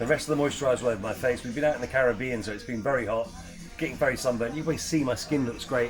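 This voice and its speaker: With music in the background, a man talks at a very fast pace, his medium pitch showing ordinary variation. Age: 60s. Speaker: retail expert. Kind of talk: product review.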